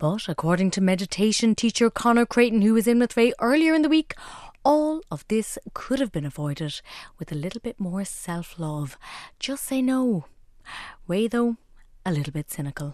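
A fairly high-pitched woman at a moderate pace with very wide pitch swings, in a very clean recording with a silent background and a dry, close sound with no echo. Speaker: radio host. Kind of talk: radio show presenting a weekly review. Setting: studio.

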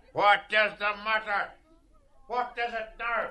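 A man uses a put-on character voice, raised and projected at a high pitch. His delivery is monotone and flat, at a fairly slow pace. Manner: stern.

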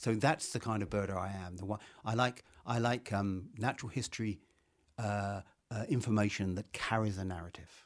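A man with an English accent speaks at a moderate pace, his fairly low voice carrying fairly even intonation. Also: quiet background. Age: 70s. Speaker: novelist. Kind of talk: radio interview. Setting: studio.

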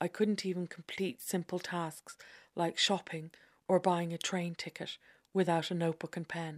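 In an Irish accent, a woman speaks at a moderate pace and fairly low pitch, her intonation flat and monotone, in a dry, close recording with no echo and a silent, very clean background. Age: middle-aged. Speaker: essayist. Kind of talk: scripted narration.

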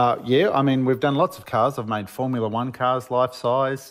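With an Australian accent, a man speaks fairly quickly at a medium pitch with ordinary variation on a very clean recording with a silent background. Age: 50s. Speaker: Lego builder and author. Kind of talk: radio interview.

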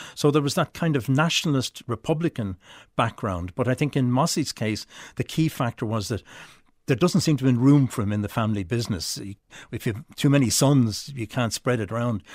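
With an Irish accent, a man speaks at a medium pitch and a fairly quick pace, his intonation lively. The recording is very clean and dry, close with no echo and a silent background. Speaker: author. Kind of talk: interview.

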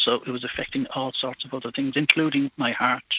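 A man with a Cork accent speaks at a fairly quick pace. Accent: Irish (Cork). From Ireland. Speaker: prostate cancer survivor, farmer. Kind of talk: phone-in call. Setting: phone call.

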